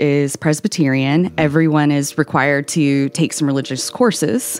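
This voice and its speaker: A woman with a Southern US accent, very deep and low in pitch, ordinary pitch variation, moderate pace. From Tennessee, Nashville area. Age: 30s. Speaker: author. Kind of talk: interview. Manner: energetic.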